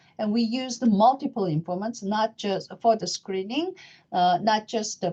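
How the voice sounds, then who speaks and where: Over a quiet background, a woman with a Korean accent talks at a moderate pace in a dark, mellow tone with lively intonation. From South Korea. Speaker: professor of psychiatry. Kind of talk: lecture. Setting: webinar. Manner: halting.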